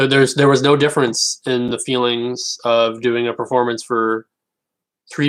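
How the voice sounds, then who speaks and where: The man's medium-pitched voice stays monotone and flat. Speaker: comedian. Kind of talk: casual livestream chat.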